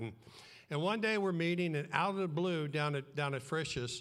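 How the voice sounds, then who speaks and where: Audible room echo follows a man as he talks. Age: 70s. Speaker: guest preacher, church co-founder. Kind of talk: sermon.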